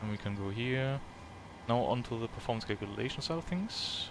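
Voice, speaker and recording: Speaking at a fairly quick pace, a man with a medium pitch and ordinary pitch variation is heard over noticeable background noise. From Germany. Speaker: flight sim streamer. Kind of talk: live gameplay commentary. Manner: casual thinking aloud.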